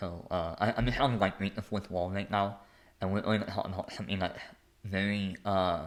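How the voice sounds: A man talks at a moderate pace with a low pitch. His intonation stays fairly even.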